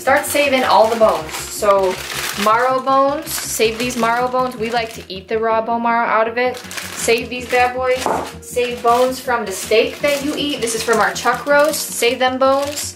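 A high female voice at a moderate pace with fairly even intonation, faint music in the background. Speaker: cooking vlogger. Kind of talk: tutorial. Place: kitchen. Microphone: camera far.

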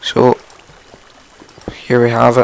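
A man speaks slowly at medium pitch in a monotone, flat intonation. His tone is clear and smooth, yet croaky with vocal fry.

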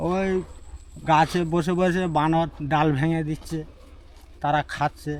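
A man's fairly high pitch in a monotone, flat delivery. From Sundarbans, South 24 Parganas, West Bengal. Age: 70s. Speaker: fisherman and honey collector. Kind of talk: interview storytelling.

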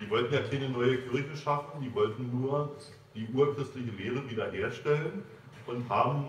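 Speech at a moderate pace with audible room echo and light background noise. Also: man. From Frankfurt (Oder), eastern Germany. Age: 70s. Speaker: church elder and archivist. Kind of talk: lecture. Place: hall. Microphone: camera far.

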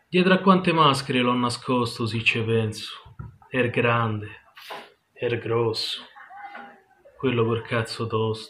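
In a Roman accent, the speaker goes at a very slow pace with long, frequent pauses and ordinary pitch variation over light background noise. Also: man, medium pitch for a man. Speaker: poet. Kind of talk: poetry reading. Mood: wistful, intimate, melancholic. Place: home room. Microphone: webcam.

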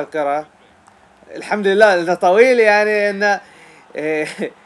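A man speaks with ordinary pitch variation. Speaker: gaming YouTuber. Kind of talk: live game commentary while playing. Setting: home recording, playing online match. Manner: halting, distracted, breaking off mid-sentence as he focuses on the game; animated, exclaiming and reacting emotionally to play.

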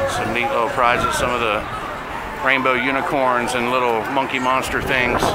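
Over heavy background noise, a man speaks at a middling pace. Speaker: vlogger touring a theme park. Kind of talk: casual vlog chat. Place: street.

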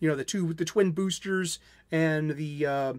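A man speaks fairly slowly. Behind him, all is quiet. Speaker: anime video creator. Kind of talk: casual vlog commentary. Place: home room. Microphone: webcam.

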